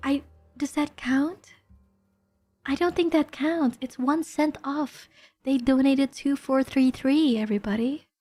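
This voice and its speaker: With music in the background, a woman speaks fairly slowly at a high pitch, using fairly even intonation and long, frequent pauses. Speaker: vtuber streamer. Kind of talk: casual chat. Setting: live stream. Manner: soft-spoken.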